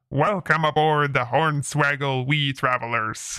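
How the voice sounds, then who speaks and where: A man shouts in a gruff put-on character voice at a fairly high pitch and a fairly slow pace. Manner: hearty, welcoming shout.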